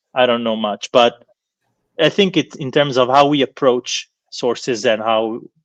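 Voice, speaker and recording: With a non-native accent, a man speaks at a medium pitch. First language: not English. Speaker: professor of philology. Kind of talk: lecture Q&A answer. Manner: halting, with many fillers and repetitions.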